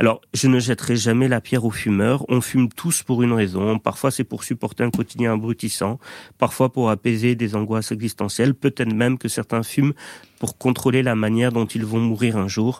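In a very clean recording with a silent background and a dry, close sound with no echo, a man speaks at a moderate pace in a medium pitch with flat, monotone intonation. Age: 30s. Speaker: doctor and radio columnist. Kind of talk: radio chronicle.

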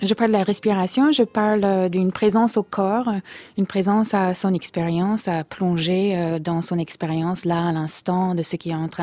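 The voice has a dark, mellow tone and ordinary pitch variation, moving at a fairly slow pace in a dry, close sound with no echo. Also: woman. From US Midwest, Minnesota. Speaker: meditation coach and author. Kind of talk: radio interview. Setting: radio studio. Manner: halting.

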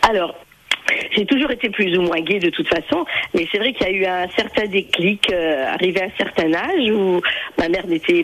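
A woman talks at a fairly quick pace with medium pitch. Noticeable background noise runs underneath. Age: 50s. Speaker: caller. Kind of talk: phone-in testimony. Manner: joyful, laughing.

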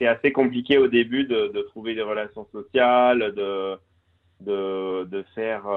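A man's medium-pitched voice, very slow, with fairly even intonation. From Corsica (Cervione). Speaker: business professional, cross-border commuter. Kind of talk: radio interview. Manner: halting, many hesitations.

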